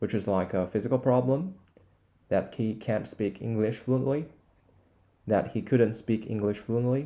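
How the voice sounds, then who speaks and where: With a Chinese accent and a dark, mellow tone, a man speaks at a moderate pace with long, frequent pauses. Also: medium pitch for a man, ordinary pitch variation. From China. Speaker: language learning YouTuber. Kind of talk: screen-recorded tutorial. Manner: not fully fluent.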